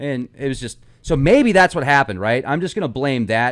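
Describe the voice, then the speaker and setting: In a very clean recording with a silent background, a man talks in a fairly high voice. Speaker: podcast host. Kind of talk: casual podcast commentary. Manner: stumbling over words.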